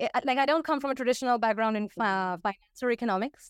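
A woman's high-pitched voice moves with lively intonation. The sound is dry and close with no echo, in a very clean recording with a silent background. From India. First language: Hindi and Bengali. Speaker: Substack author and macro analyst. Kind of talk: interview conversation about macro economics. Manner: uses frequent fillers like uh and um.

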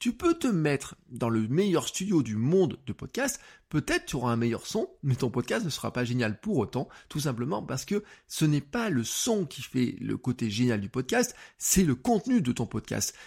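A man speaks at a moderate pace with a fairly high, somewhat breathy voice and an animated tone. His pitch swings very widely, on a very clean recording with a silent background. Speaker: podcast coach. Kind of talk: tutorial. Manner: casual, many fillers.

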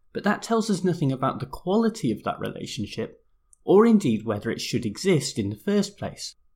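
Speaking at a fairly quick pace with a British accent, a man sounds somewhat breathy and swings his pitch very widely. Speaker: law podcast host. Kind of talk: scripted explainer monologue.

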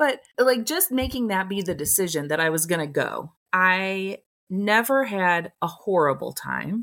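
On a very clean recording with a silent background, a woman with an unremarkable speaking voice talks at a medium pitch with lively intonation. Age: 50s. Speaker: podcast co-host. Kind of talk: casual chat.

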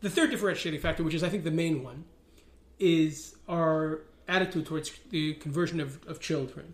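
Talking at a fairly quick pace, a man with a New York accent has a fairly high pitch and fairly even intonation. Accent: New York American. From New York (Riverdale). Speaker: rabbi and religious activist. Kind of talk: interview.

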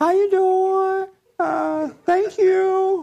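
Using a put-on character voice, a female-sounding speaker is soft-spoken and squeaky, with an extremely high pitch and a timid tone.

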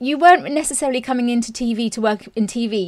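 Fairly quick speech from a woman, high in pitch. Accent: British. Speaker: podcast host, journalist turned author. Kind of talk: interview. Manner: warm, enthusiastic.

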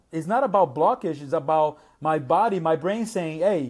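The voice moves at a fairly quick pace with lively intonation. It is a very clean recording with a silent background. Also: man. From Brazil. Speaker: multimedia artist. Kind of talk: casual interview chat. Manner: informal, repeats words, filler phrases.

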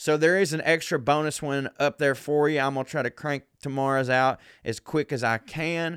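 A man with a Southern US accent speaks in an animated tone at a fairly high pitch, hardly pausing, in a very clean recording with a silent background. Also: moderate pace. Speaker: comedian. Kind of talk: casual chat.

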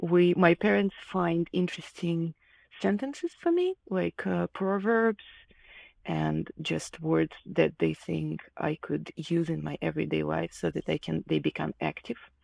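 On a very clean recording with a silent background and a dry, close sound with no echo, a woman talks at a fairly slow pace in a Russian accent. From Ukraine, Kharkiv. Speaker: illustrator. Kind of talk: casual interview conversation. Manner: halting, many fillers.

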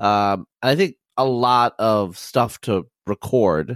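The recording is very clean, with a silent background. A man speaks at a medium pitch with ordinary pitch variation. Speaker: podcast host. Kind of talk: casual interview conversation. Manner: filler-heavy, halting.

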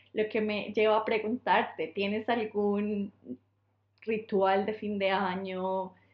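In a Colombian accent, a woman talks at a very slow pace. Her medium pitch stays in monotone, flat intonation. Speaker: podcast co-host. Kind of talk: casual chat. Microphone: poor recording quality.

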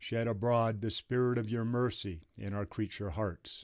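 Solemn in tone, a man speaks at a very slow pace with a medium pitch. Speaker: podcast host reading scripture. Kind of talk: fervent prayer reading aloud. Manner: solemn, reverent, earnest cadence; halting at tricky words, self-correcting.

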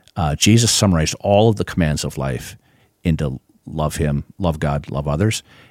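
A man with an Upper Midwest accent speaks at a moderate pace, his very deep, low voice carrying vocal fry and ordinary pitch variation. The sound is dry and close with no echo, on a very clean recording with a silent background. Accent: Upper Midwest American. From Minnesota (Duluth area). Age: 60s. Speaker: pastor. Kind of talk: casual chat.

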